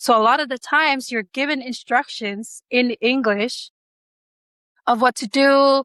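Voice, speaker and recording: A woman's high, bright, sharp voice in a Samoan accent, fairly even intonation and a fairly slow pace, on a very clean recording with a silent background and a dry, close sound with no echo. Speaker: pilot. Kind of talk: interview. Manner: hesitant, many fillers.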